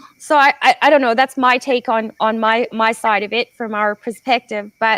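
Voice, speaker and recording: A woman with a Canadian accent speaks in a normal speaking voice, her fairly high pitch moving in fairly even intonation at a moderate pace, with dry, close sound and no echo. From Canada. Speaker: podcast host and solar business owner. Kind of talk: casual interview chat.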